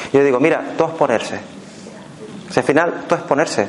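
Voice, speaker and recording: With noticeable background noise behind him, a man in a Canarian accent talks at a fairly quick pace. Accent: Canarian, seseo. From Canary Islands. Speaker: workshop speaker on fears and neuroscience. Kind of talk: talk to a live audience.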